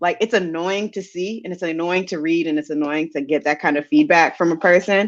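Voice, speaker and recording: Speaking at a moderate pace, this voice comes with a Maryland accent. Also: woman, quiet background. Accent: regional Maryland (PG County) speech. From Prince George's County, Maryland, US. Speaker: science podcast co-host. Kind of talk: casual panel conversation.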